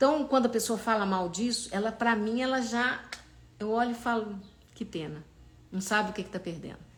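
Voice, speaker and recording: Somewhat breathy and fairly high-pitched, a woman speaks in an animated tone at a fairly quick pace with ordinary pitch variation and long, frequent pauses. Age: 60s. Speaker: holistic therapist. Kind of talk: live stream talk. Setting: live stream.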